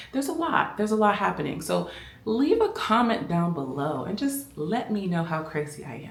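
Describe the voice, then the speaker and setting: A quiet woman with an American accent, lively intonation and a fairly slow pace, amid noticeable background noise and audible room echo. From Miami, Florida. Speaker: fashion vlogger. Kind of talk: casual vlog chat. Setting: at home at night. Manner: speaking quietly.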